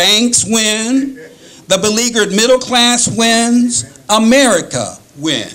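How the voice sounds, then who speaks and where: Audible room echo surrounds a male speaker who talks very slowly. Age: 60s. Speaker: political rally speaker. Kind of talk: speech. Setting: rally. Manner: halting.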